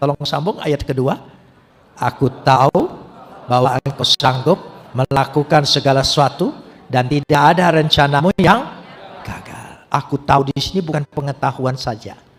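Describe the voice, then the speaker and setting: A man with a fairly high voice talks at a moderate pace, his pitch varying in an ordinary way, while noticeable background noise sits behind him. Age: 70s. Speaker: pastor. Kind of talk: sermon.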